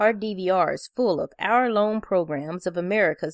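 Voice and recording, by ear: Someone is reading aloud in a natural voice. The reading moves along as written.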